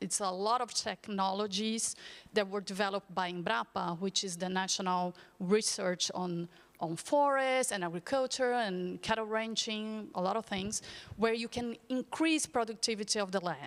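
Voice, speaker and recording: A woman in a Portuguese accent, medium in pitch, with ordinary pitch variation and a moderate pace. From Brazil. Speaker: panelist, agriculture policy expert. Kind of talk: panel discussion. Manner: halting.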